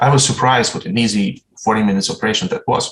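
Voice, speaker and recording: A man's very fast speech in a Ukrainian accent, full of very wide pitch swings. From Ukraine (Uzhhorod). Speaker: surgeon. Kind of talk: conference talk. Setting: online presentation. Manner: formal.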